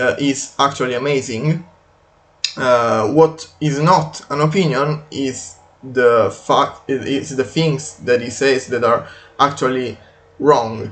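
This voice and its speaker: In a non-native accent, the speaker goes at a very slow pace with fairly even intonation. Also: man, fairly high pitch for a man. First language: not English. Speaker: video game commentator. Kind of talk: unscripted video commentary. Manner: halting, many fillers.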